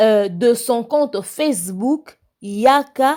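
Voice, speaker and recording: In a high pitch, a woman speaks with a dark, mellow tone. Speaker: YouTube commentator. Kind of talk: commentary with reading aloud of a news article. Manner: halting, with hesitations.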